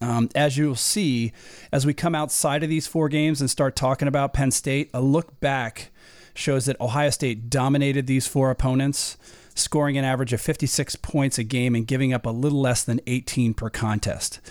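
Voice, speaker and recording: An ordinary speaking voice from a man at medium pitch and moderate pace, with fairly even intonation and very even loudness, in a dry, close, very clean recording with a silent background and no echo. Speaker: podcast host. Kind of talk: interview.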